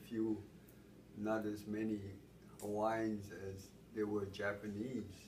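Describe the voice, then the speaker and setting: Audible room echo surrounds a man speaking at a very slow pace. His voice is fairly low-pitched and somewhat breathy. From Hawaii, Honolulu. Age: 70s. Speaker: interviewee. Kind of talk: oral history interview. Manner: halting.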